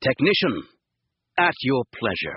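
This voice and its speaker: A man puts on a character voice at medium pitch. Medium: read story. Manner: calm, measured.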